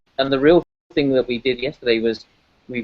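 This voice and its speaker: A man talks very fast in a British accent at a medium pitch. His intonation stays fairly even. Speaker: ocean scientist. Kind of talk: interview. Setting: aquarium event venue.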